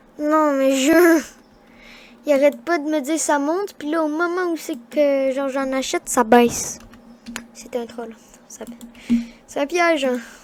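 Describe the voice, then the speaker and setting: A woman's high-pitched voice at a fairly slow pace, with long, frequent pauses, big swings in loudness, ordinary pitch variation, and noticeable background noise. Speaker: gaming youtuber. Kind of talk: gameplay commentary. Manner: halting.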